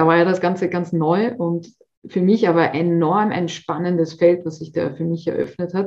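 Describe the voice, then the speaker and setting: In a normal speaking voice, the talker keeps a moderate pace and fairly even intonation. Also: woman, fairly low pitch for a woman. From Austria. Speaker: personal trainer. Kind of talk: interview.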